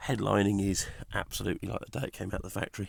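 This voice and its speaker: With vocal fry and a fairly low pitch, a man talks at a fairly quick pace with ordinary pitch variation. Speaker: car seller. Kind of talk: vehicle walkaround. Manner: casual, hesitant.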